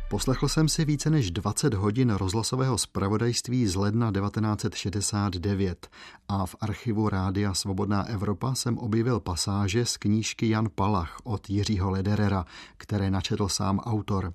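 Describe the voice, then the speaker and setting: With an unremarkable speaking voice, a man talks at a fairly low pitch with ordinary pitch variation. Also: fairly slow pace. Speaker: radio host. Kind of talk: scripted narration.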